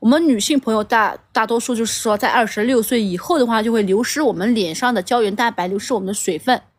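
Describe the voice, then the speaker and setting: The speaker, a woman, goes at a very fast pace. Her pitch moves with ordinary variation. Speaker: livestream seller. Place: garden. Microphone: phone near.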